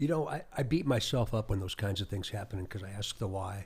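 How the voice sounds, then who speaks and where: On a very clean recording with a silent background, a man speaks with an American accent at a fairly low pitch. His voice is somewhat breathy, with ordinary pitch variation and a moderate pace. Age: 60s. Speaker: state police chief. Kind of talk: podcast interview. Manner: halting, with repeated words.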